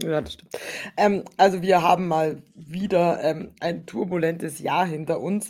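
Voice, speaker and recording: Using an ordinary speaking voice, a woman talks at a fairly slow pace and fairly low pitch, her intonation fairly even but with big swings in loudness. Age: 30s. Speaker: podcast co-host. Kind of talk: casual chat.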